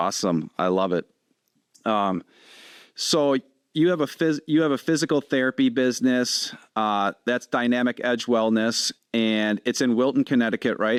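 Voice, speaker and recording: In a strong Wisconsin accent, a man of medium pitch speaks at a moderate pace with ordinary pitch variation and very even loudness, on a very clean, dry, close recording with no echo and a silent background. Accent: thick Wisconsin. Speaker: podcast host, firefighter. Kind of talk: podcast interview.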